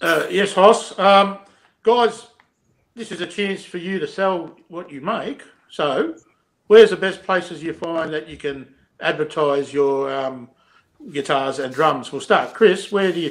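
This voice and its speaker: Against a quiet background, a man with an Australian accent speaks at a fairly slow pace. His pitch is high with ordinary variation, and his loudness swings a lot. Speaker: podcast host. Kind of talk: casual chat. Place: home room. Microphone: video call.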